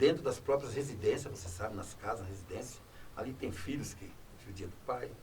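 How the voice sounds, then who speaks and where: Through noticeable background noise and audible room echo, a man's pitch swings very widely. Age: 60s. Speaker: former public official. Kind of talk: talk show interview.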